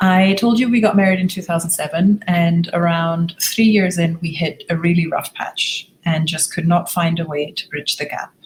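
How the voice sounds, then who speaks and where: Somewhat breathy and fairly low in pitch, a woman talks with hardly any pauses and fairly even intonation. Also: moderate pace. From Germany. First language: German. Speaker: relationship coach. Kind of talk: webinar presentation. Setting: online webinar with screen share.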